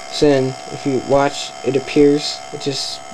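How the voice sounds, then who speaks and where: A quiet man with noticeable background noise behind him. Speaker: video editing tutorial maker. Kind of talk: casual software tutorial narration. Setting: laptop fan noise in background. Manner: quiet, low volume. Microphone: webcam.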